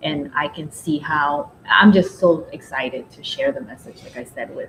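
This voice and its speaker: With a Spanish accent, a woman at a fairly low pitch talks at a moderate pace, her pitch swinging very widely and her loudness shifting a lot over noticeable background noise. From Nicaragua. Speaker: recovery step teacher. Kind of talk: casual chat.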